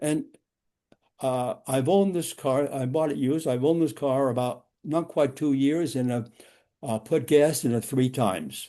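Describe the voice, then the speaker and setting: A man with a New York accent, a fairly high voice and a dark, mellow tone, speaking at a fairly slow pace over a quiet background. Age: 90s. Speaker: driving safety instructor. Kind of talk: lecture. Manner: halting.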